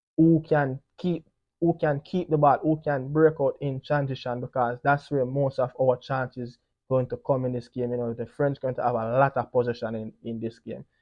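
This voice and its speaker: A man with a Jamaican accent talks at a moderate pace. His pitch is medium and his intonation fairly even. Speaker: football pundit. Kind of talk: solo sports preview commentary. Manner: casual, frequent 'you know' fillers.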